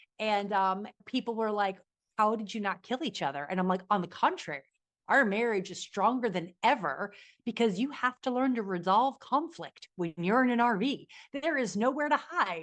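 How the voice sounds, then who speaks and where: Lively intonation in a New Jersey accent over a quiet background. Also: woman, fairly high pitch for a woman. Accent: New Jersey American. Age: 40s. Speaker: business coach and podcast guest. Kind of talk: interview conversation. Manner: loud; fast.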